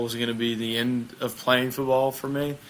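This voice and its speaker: A man with a Southern US accent, at a moderate pace, monotone and flat in intonation. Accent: Southern American. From US South, small town in Mississippi. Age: 20s. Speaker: bobsled athlete. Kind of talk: casual interview chat.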